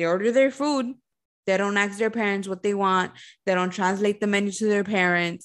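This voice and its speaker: A woman's medium-pitched voice at a moderate pace, with ordinary pitch variation over a quiet background. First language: Spanish. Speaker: podcast co-host, restaurant server. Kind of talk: casual chat.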